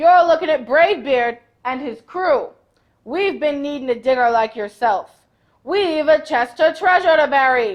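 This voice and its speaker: A woman bellows loudly in a put-on character voice with a high pitch. She keeps a moderate pace. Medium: read story. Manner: loud, bellowing.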